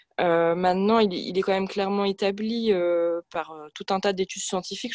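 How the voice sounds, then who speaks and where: Monotone, flat intonation from a woman against a quiet background. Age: 20s. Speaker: environmental activist, medical student. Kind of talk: radio interview. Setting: remote from home. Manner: hesitant, many fillers.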